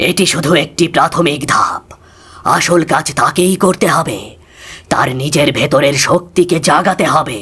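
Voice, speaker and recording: A man uses a cartoonish character voice at a high pitch, speaking fairly slowly. His loudness stays very even, and his pitch varies in an ordinary way. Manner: calm, solemn, measured.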